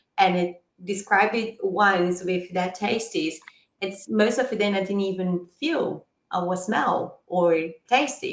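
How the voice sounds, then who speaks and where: A woman speaks with a Brazilian accent at a fairly slow pace. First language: Portuguese. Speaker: podcast host and sommelier. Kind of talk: interview conversation.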